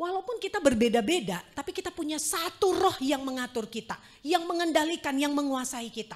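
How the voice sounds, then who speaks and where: Her voice is high for a woman and swings very widely in pitch. The woman keeps a moderate pace. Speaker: preacher. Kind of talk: sermon. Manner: conversational.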